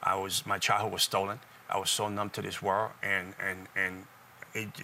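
A fairly low-pitched male voice with a bright, sharp tone. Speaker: talk show guest, former occultist turned evangelist. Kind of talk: informal, testimonial preaching style. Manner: fast talker.

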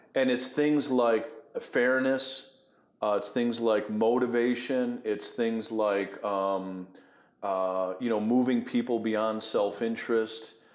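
Audible room echo surrounds a man with an American accent at a medium pitch. He talks at a very slow pace with fairly even intonation. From US Northeast, Buffalo, New York. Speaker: ministry executive and former pastor. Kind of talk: interview conversation. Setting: at a conference venue.

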